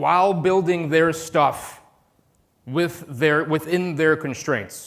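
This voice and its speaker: An animated man with an American accent speaks in a fairly high voice with ordinary pitch variation. There is audible room echo. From US Midwest, Chicago. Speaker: conference speaker, DevOps consultant. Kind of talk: conference talk. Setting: stage with audience.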